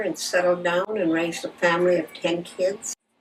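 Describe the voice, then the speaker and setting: At a moderate pace, a woman talks in a fairly low voice over noticeable background noise. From Alaska (Bethel). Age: 70s. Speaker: parish administrator. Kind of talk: documentary interview.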